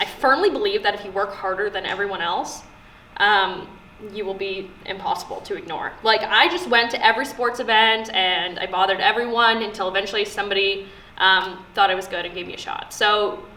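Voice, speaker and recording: A woman with a Canadian accent at medium pitch, fairly quick and fairly even in intonation, with big swings in loudness, noticeable background noise and audible room echo. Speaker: sports broadcaster. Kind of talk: casual talk to students. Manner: casual with fillers.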